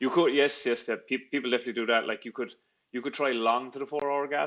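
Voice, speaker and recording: At a very fast pace, a man talks with medium pitch and fairly even intonation over a quiet background. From Ireland, Cork. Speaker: trader. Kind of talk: live trading stream, casual Q&A with chat. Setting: live stream. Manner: casual, many fillers and restarts.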